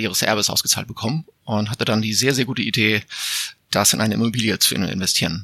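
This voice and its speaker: A man in a normal speaking voice moves along at a fairly quick pace, his pitch varying in an ordinary way. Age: 40s. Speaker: editor and homeowner. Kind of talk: interview.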